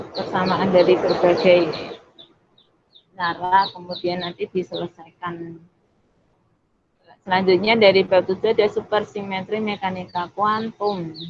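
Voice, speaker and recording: Speaking in a monotone, flat intonation at a medium pitch, a woman moves at a fairly slow pace with long, frequent pauses. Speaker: university student mentor. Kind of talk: online tutorial presentation. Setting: video call.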